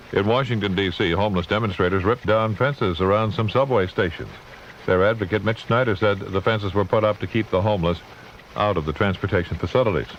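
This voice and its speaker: Against noticeable background noise, a man rattles along at a very fast pace, his pitch fairly low and his loudness very even. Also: ordinary pitch variation. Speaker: radio news anchor. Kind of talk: all-news radio broadcast read.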